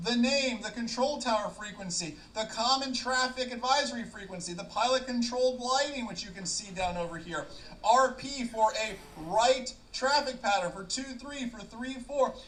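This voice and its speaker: Big swings in loudness mark this man's extremely high-pitched voice, which has ordinary pitch variation. Noticeable background noise runs underneath. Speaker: flight ground school instructor. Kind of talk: tutorial. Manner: fast.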